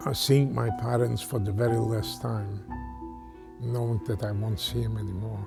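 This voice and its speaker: Medium-pitched male speech at a moderate pace with music in the background. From Poland. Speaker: Holocaust survivor. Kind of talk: interview answer.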